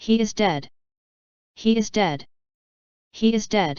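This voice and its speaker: A female-sounding, put-on character voice pitched fairly high. She is shouting. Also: fairly slow pace. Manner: wild, anguished, shouting.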